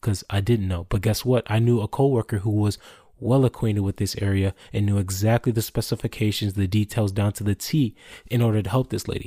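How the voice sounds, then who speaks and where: Speaking at a fairly quick pace, a man uses a dark, mellow, somewhat breathy tone at a fairly low pitch with fairly even intonation, on a very clean recording with a silent background and a dry, close sound with no echo. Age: 20s. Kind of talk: solo devotional talk.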